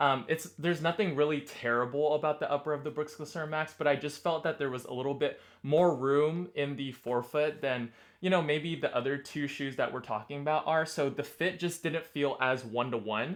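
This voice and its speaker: Against a quiet background, the speech moves at a fairly quick pace with hardly any pauses and ordinary pitch variation. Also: man, fairly high pitch for a man. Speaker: running shoe reviewer. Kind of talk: product review. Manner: fast.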